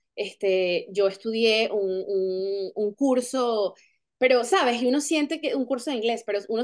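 Against a quiet background, a woman with a high pitch talks at a moderate pace with lively intonation. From Venezuela. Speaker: actress. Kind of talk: interview. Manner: halting, many fillers and repetitions. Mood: warm, smiling. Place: home room. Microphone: video call.

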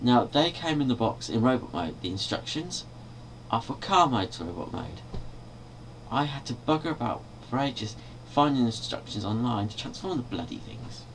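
Against light background noise, a man with a British accent talks at a moderate pace, with lively intonation and big swings in loudness. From Britain. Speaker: video blogger and toy collector. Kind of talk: angry rant, complaining about toy reissues, swearing. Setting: bedroom, webcam video, filmed at night. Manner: irritated, exasperated, rhetorical questions, rambling. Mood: annoyed, complaining. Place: home room. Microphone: webcam.

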